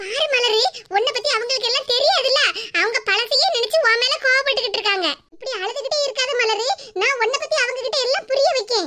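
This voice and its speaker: A woman puts on a cartoonish character voice pitched extremely high. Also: moderate pace. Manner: warm, friendly.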